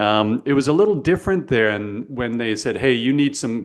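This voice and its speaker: This man has an unremarkable speaking voice in a Canadian accent, talking at a fairly quick pace with ordinary pitch variation. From Canada. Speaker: podcast host, sales coach. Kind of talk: podcast interview.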